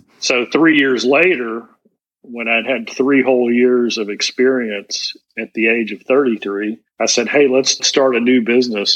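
A man's normal speaking voice at medium pitch, with fairly even intonation and a moderate pace. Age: 50s. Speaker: business executive and speaker. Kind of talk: interview.

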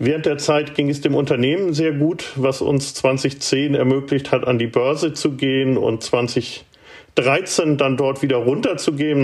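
A man with a normal speaking voice, medium in pitch, at a moderate pace. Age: 50s. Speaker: startup incubator director and author. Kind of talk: interview.

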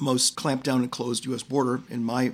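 A man with an American accent, fairly quick in pace, with vocal fry. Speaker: political commentator. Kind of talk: debate. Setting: studio. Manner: animated.

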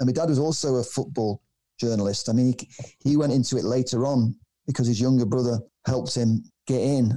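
In a Manchester accent, a man with a dark, mellow tone and medium pitch talks at a fairly quick pace with fairly even intonation, very even loudness and long, frequent pauses. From Manchester, England. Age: 60s. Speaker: documentary filmmaker. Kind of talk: casual interview. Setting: remote call.

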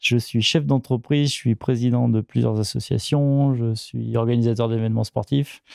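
At a moderate pace and medium pitch, a man talks with hardly any pauses, very even loudness and fairly even intonation. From France, Rhône-Alpes region. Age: 40s. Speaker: ultra-endurance athlete and business owner. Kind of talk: interview. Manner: halting.

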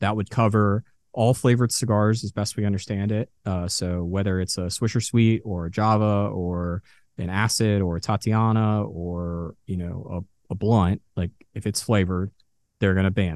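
A man with an American accent talks at a moderate pace in an ordinary speaking voice. His pitch is fairly low and his intonation fairly even. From Texas, Dallas. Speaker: cigar journalist and reviewer. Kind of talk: podcast interview.

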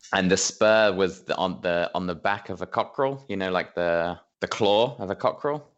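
Speaking with an English accent, a man keeps a moderate pace, a fairly low pitch and ordinary pitch variation. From England. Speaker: podcast guest, friend of host, football fan. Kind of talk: casual chat.

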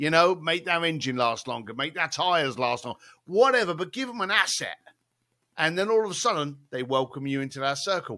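A man with a British accent speaks fairly quickly at a fairly high pitch, his tone bright and sharp with very wide pitch swings, on a very clean recording with a silent background. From East London. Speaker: author and event planner. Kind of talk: casual interview chat.

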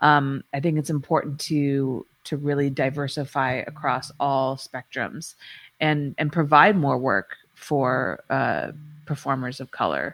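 Over music in the background, a woman with an American accent speaks at a very deep, low pitch, with fairly even intonation at a fairly slow pace. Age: 40s. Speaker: adult film director and podcaster. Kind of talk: interview.

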